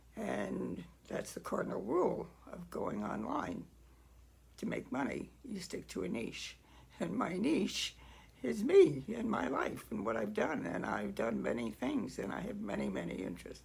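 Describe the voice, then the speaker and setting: A woman's fairly slow speech rings with audible room echo. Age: 80s+. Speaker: writer and video creator. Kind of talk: casual talk to camera. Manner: halting, many fillers.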